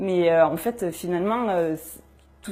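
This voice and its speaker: Over noticeable background noise, a woman with a strong southern French accent talks at a moderate pace with ordinary pitch variation. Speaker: journalist. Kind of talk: interview testimony. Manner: hesitant, many fillers.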